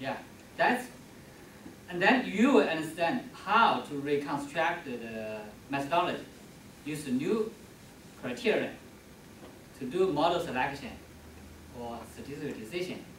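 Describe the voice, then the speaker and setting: With a non-native accent, a man speaks at a fairly high pitch with very wide pitch swings, big swings in loudness and long, frequent pauses, amid audible room echo and noticeable background noise. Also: moderate pace. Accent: foreign accent, limited English. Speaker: presenting researcher. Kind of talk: academic presentation Q&A. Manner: halting.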